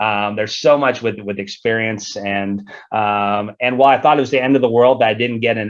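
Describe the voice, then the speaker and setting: A man with an American accent speaks at a fairly low pitch with fairly even intonation. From US South, Atlanta Georgia. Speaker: soccer referee. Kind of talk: interview. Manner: halting, many repetitions.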